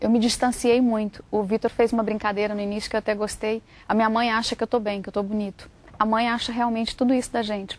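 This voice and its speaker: In a Brazilian accent, a woman talks at a fairly quick pace with a fairly high pitch and monotone, flat intonation. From Brazil, Goiás state (Centre-West). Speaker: journalist and author. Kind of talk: interview.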